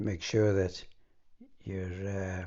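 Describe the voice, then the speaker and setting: The man's pitch is fairly low. There is a somewhat breathy quality to his voice. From Morayshire, north east Scotland. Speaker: former spy. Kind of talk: conversational memoir interview.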